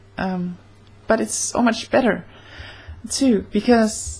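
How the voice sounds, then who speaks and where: Somewhat breathy, a woman speaks at a fairly high pitch with fairly even intonation. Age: 20s. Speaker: vlogger. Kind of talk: casual vlog monologue. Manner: halting, many fillers. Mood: warm, earnest. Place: home room. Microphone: webcam.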